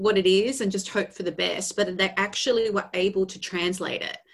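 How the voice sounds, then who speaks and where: A woman talks with an Australian accent. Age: 40s. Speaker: vocal coach. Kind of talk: podcast interview. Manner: animated.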